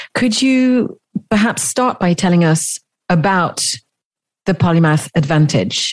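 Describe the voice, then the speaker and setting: Lively intonation in a somewhat breathy voice, a fairly slow pace with long, frequent pauses, and a dry, close sound with no echo. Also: woman, fairly low pitch for a woman. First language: French. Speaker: podcast host. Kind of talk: interview podcast.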